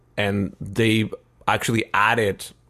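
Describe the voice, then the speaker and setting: A man's fairly low voice with a Spanish accent, over a quiet background. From Mexico City. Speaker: multidisciplinary artist and musician. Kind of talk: casual interview. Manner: hesitant with many fillers.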